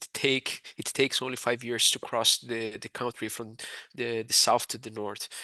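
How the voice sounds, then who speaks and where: With a Portuguese accent and a bright, sharp tone, a man speaks at a fairly slow pace, and the sound is dry and close with no echo. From Brazil. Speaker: university international recruitment advisor. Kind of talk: webinar presentation. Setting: online webinar. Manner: hesitant, many fillers.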